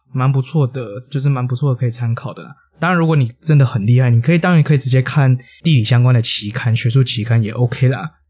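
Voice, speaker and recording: Speaking very fast with a Taiwanese accent, a man uses a medium pitch and ordinary pitch variation. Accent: Taiwanese Mandarin. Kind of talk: casual chat.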